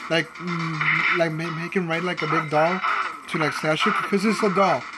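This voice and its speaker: A man speaks in a high pitch at a moderate pace, with audible room echo and noticeable background noise. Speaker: gaming YouTuber. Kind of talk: casual gameplay commentary. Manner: halting, many repetitions.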